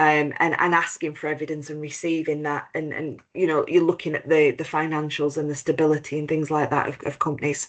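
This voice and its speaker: A woman with a British accent speaks at a fairly quick pace, her very deep, low pitch delivered in monotone, flat intonation. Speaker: compliance expert, head of operations at accreditation body. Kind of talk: webinar presentation.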